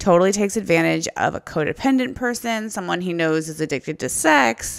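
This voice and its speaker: A normal speaking voice with an American accent, ordinary pitch variation and a moderate pace. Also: woman. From United States. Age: 30s. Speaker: writer, podcast co-host. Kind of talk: casual chat.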